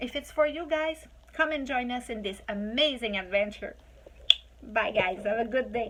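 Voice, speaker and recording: Speaking at a moderate pace, a woman with a Quebec accent uses a high pitch, ordinary pitch variation and an animated tone. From Quebec, Quebec City. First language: French. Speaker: online business promoter. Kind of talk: sales pitch.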